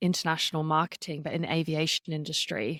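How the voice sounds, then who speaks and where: On a very clean recording with a silent background, a woman with an Australian accent speaks at a fairly low pitch. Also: dry, close sound with no echo. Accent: non-American, Australian. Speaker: storytelling and public speaking coach, podcaster. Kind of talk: podcast interview.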